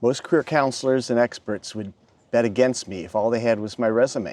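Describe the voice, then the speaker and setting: With an American accent, this voice moves along at a moderate pace. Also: man. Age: 60s. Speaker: retired tech worker turned novelist. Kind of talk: personal vlog monologue.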